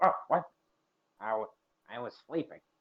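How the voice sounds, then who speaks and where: A put-on character voice from a man, fairly high in pitch, at a moderate pace. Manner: startled.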